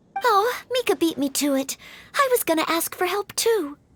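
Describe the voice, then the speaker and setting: In a put-on character voice, a woman squeaks at an extremely high pitch with very wide pitch swings at a moderate pace, the sound dry and close with no echo. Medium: video game. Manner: courteous, formal.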